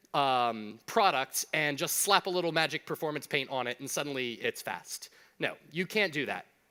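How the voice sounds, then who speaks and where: With an American accent, a man talks in a bright, sharp tone at a fairly high pitch, his pitch varying in an ordinary way, in a dry, close sound with no echo. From US South. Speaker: conference speaker. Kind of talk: conference talk. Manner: fast; animated.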